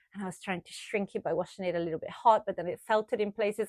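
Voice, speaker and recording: A woman speaks with an Italian accent. The recording is very clean, with a silent background and a dry, close sound with no echo. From Italy, Tuscany (near Florence). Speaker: sewing and knitting vlogger. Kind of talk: casual chat to camera.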